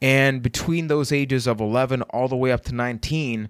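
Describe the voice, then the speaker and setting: On a very clean recording with a silent background, a man talks at a moderate pace with ordinary pitch variation. He has an unremarkable speaking voice. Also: dry, close sound with no echo. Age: 20s. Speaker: podcast host and mental health speaker. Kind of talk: personal storytelling monologue.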